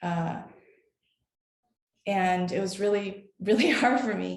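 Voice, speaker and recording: The woman's voice is somewhat breathy and medium in pitch, moving at a fairly slow pace. Audible room echo surrounds it. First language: Chinese. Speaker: tech company employee. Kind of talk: panel discussion. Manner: halting.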